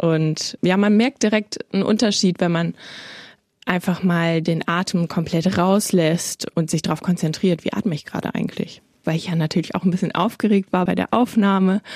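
On a very clean recording with a silent background and a dry, close sound with no echo, a woman talks in a normal speaking voice at a fairly low pitch, with fairly even intonation and a moderate pace. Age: 20s. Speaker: podcast host, media trainee. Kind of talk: podcast trailer narration.

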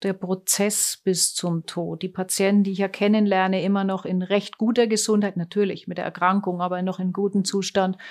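On a very clean recording with a silent background, a woman speaks at a moderate pace and medium pitch with a monotone, flat intonation. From Germany. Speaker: oncologist. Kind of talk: interview. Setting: clinic.

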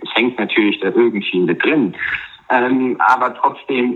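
Noticeable background noise fills the clip. A man speaks through it at a moderate pace. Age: 30s. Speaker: cancer survivor sharing breakup story. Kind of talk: personal testimony in interview. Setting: remote call over Skype.

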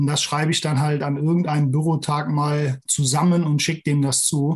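Somewhat breathy, a man speaks in a fairly high pitch with monotone, flat intonation at a moderate pace. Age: 40s. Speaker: agricultural milking-equipment adviser. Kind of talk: interview.

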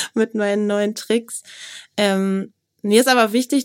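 A woman with an ordinary speaking voice and fairly even intonation is heard in a very clean recording with a silent background. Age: 30s. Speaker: business journalist. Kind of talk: interview.

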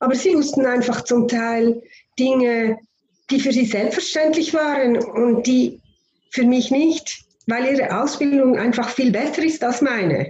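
A woman's high voice at a fairly slow pace, with very even loudness and ordinary pitch variation. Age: 50s. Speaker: homeopath and anaesthesia nurse. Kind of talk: interview.

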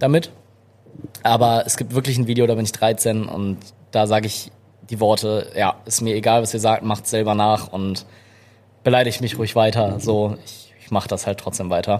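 A man talks at a moderate pace in a medium pitch. He has a plain, everyday voice. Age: 20s. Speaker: content creator and photographer. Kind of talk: casual interview chat. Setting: live podcast with small audience in a café.

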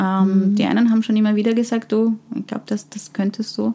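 Her voice has a somewhat breathy quality. The speaker is a woman. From Austria (from Afghanistan at age ten). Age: 40s. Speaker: HR consultant and leadership coach. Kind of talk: interview. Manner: hesitant, many fillers.

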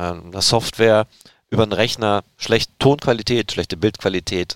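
At a moderate pace, a man uses an ordinary speaking voice with a fairly low pitch and ordinary pitch variation, recorded with a dry, close sound and no echo. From Erzgebirge region, Saxony. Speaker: football podcast host. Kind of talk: casual chat.

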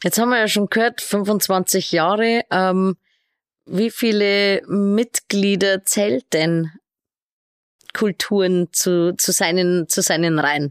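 A woman speaks at a very slow pace and medium pitch, with ordinary pitch variation and very even loudness. The recording is very clean with a silent background, and the sound is dry and close with no echo. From Regensburg, Bavaria. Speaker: podcast host. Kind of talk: interview.

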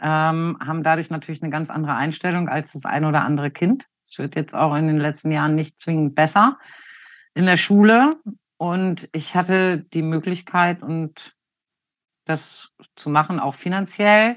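At a moderate pace and with ordinary pitch variation, the voice comes through over a quiet background. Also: woman, very deep, low pitch for a woman. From northern Germany, Hanover area. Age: 50s. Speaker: western riding judge and trainer. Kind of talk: interview. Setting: video call.

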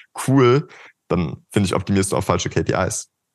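Vocal fry runs through a fairly quick delivery with ordinary pitch variation, set against a quiet background. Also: man. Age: 20s. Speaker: marketing agency co-founder. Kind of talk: casual interview. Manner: animated.

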